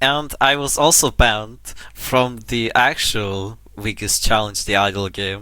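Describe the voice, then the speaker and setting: On a very clean recording with a silent background, a man with a non-native accent speaks at a very slow pace, fairly low in pitch, his bright, sharp tone touched with vocal fry. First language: not English. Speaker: indie game developer. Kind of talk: unscripted casual talk to camera. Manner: hesitant, halting.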